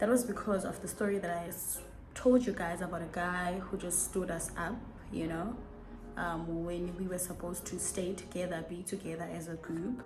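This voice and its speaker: A woman speaks in a fairly low pitch with fairly even intonation. Music plays in the background and the room echo is audible. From South Africa. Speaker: YouTuber. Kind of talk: casual chat. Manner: fast.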